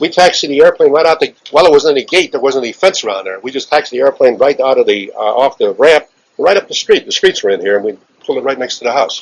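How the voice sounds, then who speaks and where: A man speaks with a Chicago accent. His pace is very fast. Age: 70s. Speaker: aviation veteran. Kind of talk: interview. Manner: halting.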